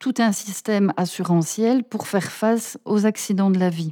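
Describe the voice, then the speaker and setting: Her voice is medium in pitch, with a dark, mellow tone and ordinary pitch variation. The woman speaks at a fairly slow pace in a dry, close sound with no echo. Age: 40s. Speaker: political aide and researcher. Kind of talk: interview.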